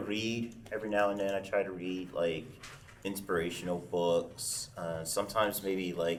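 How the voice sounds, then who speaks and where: A man speaks at a fairly slow pace in a fairly low voice. Room echo is audible. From Arkansas, Pine Bluff. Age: 30s. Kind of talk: panel discussion. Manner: halting, many fillers.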